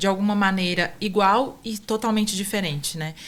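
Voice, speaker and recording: A woman with a Minas Gerais accent and ordinary pitch variation. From Minas Gerais, Brazil (Passos). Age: 30s. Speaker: author. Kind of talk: interview.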